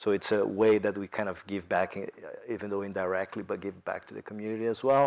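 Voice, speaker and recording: Talking at a very fast pace with a Brazilian accent, a man with a fairly low pitch keeps a fairly even intonation while his loudness swings widely. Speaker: corporate executive on business panel. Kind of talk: panel discussion. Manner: halting, many fillers.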